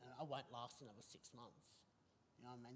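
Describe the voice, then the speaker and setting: The voice belongs to a man. His accent is Australian. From Australia, New South Wales (Bathurst). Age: 40s. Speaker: recovering addict sharing lived experience. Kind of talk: interview testimony. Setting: online video show. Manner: halting, many fillers and restarts.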